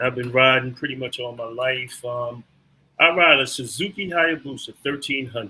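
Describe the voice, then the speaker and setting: This man has a plain, everyday voice with an American accent and medium pitch. He speaks at a moderate pace with ordinary pitch variation. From Philadelphia, Pennsylvania. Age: 60s. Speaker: fraternal organization leader. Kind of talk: interview.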